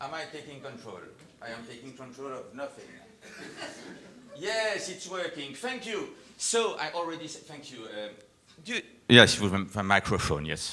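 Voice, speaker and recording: Speaking at a moderate pace with long, frequent pauses, a man with a French accent uses a fairly high pitch, very wide pitch swings and big swings in loudness, with audible room echo around him. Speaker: company executive presenter. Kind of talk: live event presentation. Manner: animated.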